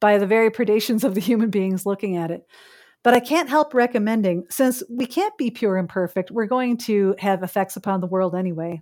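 A woman talks at a fairly quick pace in a Chicago accent, her pitch medium with ordinary variation. The recording is very clean, with a silent background. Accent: Chicago American. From US Midwest, Chicago. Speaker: philosophy professor. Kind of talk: interview.

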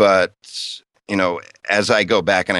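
A man with vocal fry at a moderate pace. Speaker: voice actor. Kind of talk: casual interview.

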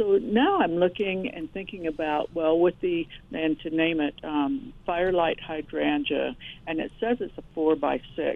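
Fairly slow speech is heard with noticeable background noise behind it. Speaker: radio caller, home gardener. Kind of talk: call-in question. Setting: phone call.

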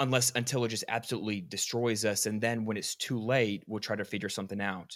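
Speaking very fast in a medium-pitched voice with fairly even intonation, a man is heard in a very clean recording with a silent background. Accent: American. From Georgia, US. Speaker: sports podcast host. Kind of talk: casual sports chat.

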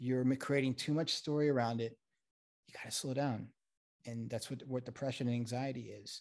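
In an American accent, a man speaks at a medium pitch with monotone, flat intonation. His pace is fairly quick, and the recording is very clean with a silent background. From South Florida and Connecticut. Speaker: mental health consultant. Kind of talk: casual interview chat.

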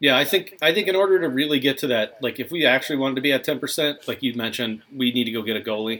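A man in an American accent, very fast with hardly any pauses, medium pitch and ordinary pitch variation. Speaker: sports podcast host. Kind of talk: casual chat.

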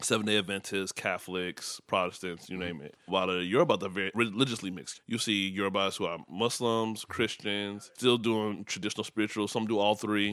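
A man talks at a fairly quick pace with hardly any pauses, his pitch fairly low and his intonation fairly even. The recording is very clean, with a silent background. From Chicago area, Nigerian household. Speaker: startup founder. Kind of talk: casual chat.

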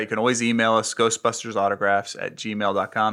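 A man with an American accent talks at a very fast pace in a bright, sharp tone of medium pitch. The recording is very clean, with a silent background. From Florida, US. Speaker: autograph collector and signing organizer. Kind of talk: casual chat. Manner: halting.

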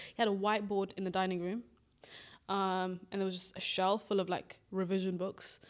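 In a British accent, a woman speaks at a fairly quick pace and medium pitch with monotone, flat intonation, on a very clean recording with a silent background. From grew up in the UK from age nine, Swedish-born, Somali family. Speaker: podcast co-host. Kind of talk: casual chat.

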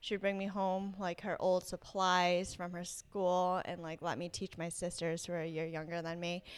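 Here is a woman with an American accent and a normal speaking voice. Her pitch is medium and her pace moderate. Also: very clean recording, silent background. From Rhode Island, US. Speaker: teacher. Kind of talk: interview.

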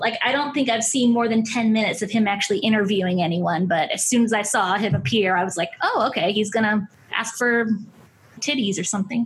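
Loudness stays very even as a woman speaks in an ordinary speaking voice. Her pitch is fairly high, with ordinary variation. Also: fairly quick pace. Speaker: writer and comedian. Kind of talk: casual chat.

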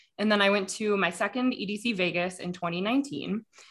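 A woman with an American accent talks in a normal speaking voice. Her pitch is medium, with ordinary pitch variation. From Denver, Colorado, US. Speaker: podcast host. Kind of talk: casual chat.

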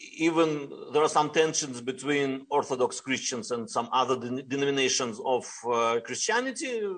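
A man with a Russian accent at a moderate pace, with lively intonation. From Russia, Ural Mountains. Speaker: rabbi. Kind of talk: interview. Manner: halting.

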